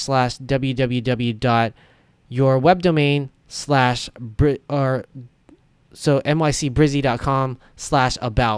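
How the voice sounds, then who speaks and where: In a very clean recording with a silent background, a man with a fairly high voice uses fairly even intonation. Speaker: web design tutorial creator. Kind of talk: tutorial. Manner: fast; casual, conversational.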